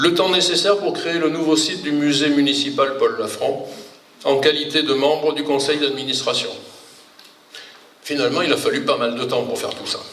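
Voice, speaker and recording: With noticeable background noise and audible room echo, a man talks at a moderate pace with long, frequent pauses. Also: fairly high pitch for a man, ordinary pitch variation. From southern France, Provence (Toulon). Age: 60s. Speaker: retired engineer, local election candidate. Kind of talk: public speech at campaign meeting. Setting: public meeting with audience.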